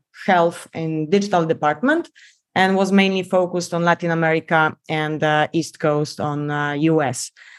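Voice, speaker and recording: A woman with a Polish accent, fairly low-pitched, at a moderate pace with fairly even intonation, on a very clean recording with a silent background. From Poland. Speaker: biomedical engineer. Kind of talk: podcast interview.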